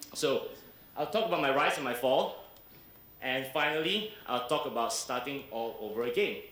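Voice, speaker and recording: Over noticeable background noise and audible room echo, a man speaks at a moderate pace with very wide pitch swings. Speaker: entrepreneur and keynote speaker. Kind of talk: keynote speech.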